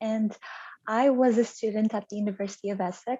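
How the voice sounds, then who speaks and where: A woman with a Portuguese accent speaks at a fairly high pitch. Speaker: translation project manager. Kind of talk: interview.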